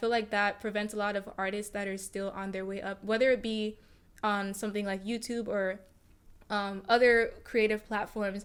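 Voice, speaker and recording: A woman speaks in a fairly high pitch at a moderate pace. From Nigeria, moved to US at seven. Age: 18. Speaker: YouTuber. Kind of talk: casual podcast interview.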